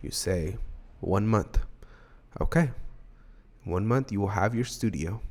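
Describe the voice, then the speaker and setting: A man's voice with ordinary pitch variation. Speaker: music producer and mixing tutor. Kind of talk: tutorial. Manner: casual.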